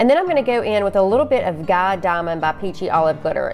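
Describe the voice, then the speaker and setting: Noticeable background noise sits behind a woman speaking with a Southern US accent. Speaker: crafter, tumbler maker. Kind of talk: tutorial. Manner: casual, chatty.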